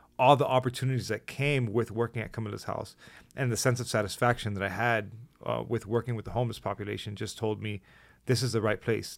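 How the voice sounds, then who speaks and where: A voice with vocal fry moves at a fairly quick pace in a monotone, flat intonation on a very clean recording with a silent background. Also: man. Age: 30s. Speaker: podcast host, nurse, army veteran. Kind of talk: casual interview.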